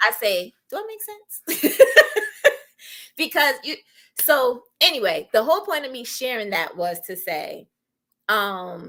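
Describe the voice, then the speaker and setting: Raised and projected, a woman's high-pitched voice has a bright, sharp tone, very wide pitch swings, and big swings in loudness, moving at a very slow pace with long, frequent pauses. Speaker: podcast co-host. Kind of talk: casual chat. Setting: live stream. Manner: articulate.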